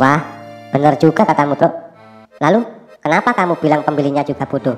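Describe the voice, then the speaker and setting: A cartoonish character voice at a low-to-middle pitch, fairly quick, with faint music in the background. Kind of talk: cartoon dialogue.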